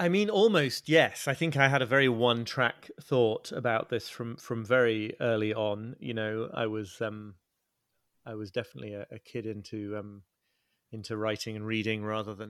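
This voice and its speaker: With a northern English accent, a man at a medium pitch speaks at a moderate pace with big swings in loudness. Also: very clean recording, silent background. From northern England. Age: 40s. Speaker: author and journalist. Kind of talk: interview. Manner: halting.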